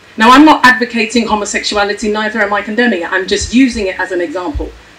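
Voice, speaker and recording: Noticeable background noise sits behind a woman's voice. She talks at a fairly quick pace in a fairly high pitch with an animated tone. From Ghana. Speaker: panelist. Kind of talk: panel discussion.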